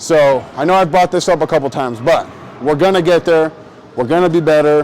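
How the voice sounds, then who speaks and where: A man talks fairly quickly, his pitch varying in an ordinary way. Noticeable background noise can be heard throughout. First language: not English. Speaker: bowling youtuber. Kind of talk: casual tutorial while bowling. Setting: bowling alley. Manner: casual, animated.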